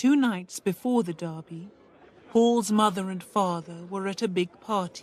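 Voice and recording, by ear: A natural voice reading aloud, pitch moving in an ordinary way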